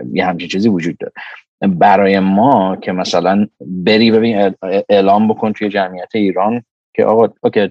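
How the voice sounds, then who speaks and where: At a moderate pace, a man talks in an ordinary speaking voice with fairly low pitch and fairly even intonation. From Iran. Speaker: microbiology professor and lab director. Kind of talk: casual interview chat.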